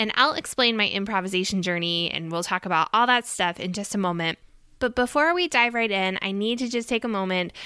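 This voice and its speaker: A woman speaks in an animated, bright and sharp tone with lively intonation. The recording is very clean, with a silent background. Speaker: music teacher podcaster. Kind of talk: podcast solo monologue. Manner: fast talker; animated, excitable.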